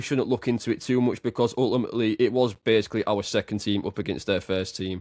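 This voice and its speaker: A man with a British accent speaks at a fairly quick pace and a medium pitch, his voice sounding dry and close with no echo against a quiet background. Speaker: podcast host. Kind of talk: casual chat. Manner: fast.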